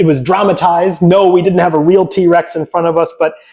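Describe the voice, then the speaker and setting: Talking at a fairly quick pace, a man with an American accent has an animated tone. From US Midwest, rural Illinois near Chicago. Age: 40s. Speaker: paleontologist and author. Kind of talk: interview.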